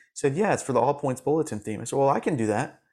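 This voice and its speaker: A man with an American accent talks on a very clean recording with a silent background. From Florida, US. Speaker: music supervisor and coach for musicians. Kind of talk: interview.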